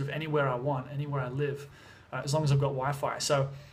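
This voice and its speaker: A man talks very fast in a fairly high, monotone voice. Room echo is audible, and background noise is noticeable. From Australia, Sydney. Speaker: vlogger and music producer. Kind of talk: casual vlog. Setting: at home in Thailand. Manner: casual, many fillers.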